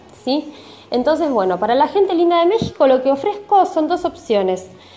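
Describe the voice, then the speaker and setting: Noticeable background noise behind a woman whose pitch swings very widely. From Argentina, Mar del Plata (Buenos Aires province). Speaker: numerologist and Reiki teacher. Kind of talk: interview answers.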